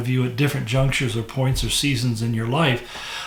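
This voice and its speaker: Speaking at a fairly quick pace, a man with a fairly high pitch is heard. Audible room echo and noticeable background noise surround him. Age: 70s. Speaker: pastor. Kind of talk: devotional talk. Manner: conversational, with fillers and restarts.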